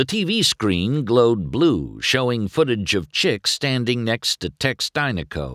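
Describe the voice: What is heard is plain reading aloud.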